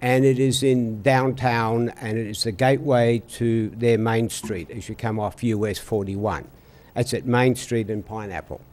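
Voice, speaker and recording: A man with a strong Australian accent, medium pitch, fairly even intonation and a moderate pace. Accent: Australian, still strong. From Australia, Melbourne. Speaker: traffic engineering presenter. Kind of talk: presentation. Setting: city council meeting.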